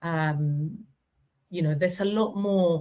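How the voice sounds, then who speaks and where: At a very slow pace, a woman talks with fairly even intonation in a fairly low pitch. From Spain. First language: Spanish. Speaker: language professional in legal sector. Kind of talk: webinar panel talk. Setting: online webinar. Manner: halting, repeats words.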